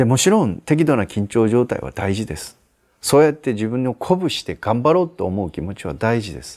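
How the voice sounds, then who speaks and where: This speaker talks at a fairly quick pace, with very wide pitch swings and big swings in loudness. The background is quiet. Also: man. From Aichi, Japan. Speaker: Zen Buddhist priest giving life advice. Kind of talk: advice answer to viewer letter, sermon-like talk. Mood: calm, gentle, reflective. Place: garden. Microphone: lapel.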